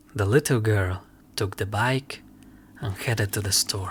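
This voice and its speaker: Music plays in the background as a man with a fairly low pitch talks at a fairly slow pace. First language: not English. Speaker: ASMR and roleplay creator. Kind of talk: scary story narration.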